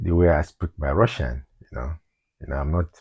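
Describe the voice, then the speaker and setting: A man with a Nigerian accent speaks with lively intonation, a dark, mellow tone and vocal fry. The sound is dry and close, with no echo. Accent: Nigerian English, Igbo. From Nigeria (Igbo, southeast). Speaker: vlogger. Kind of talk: personal vlog monologue. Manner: halting, repetitive.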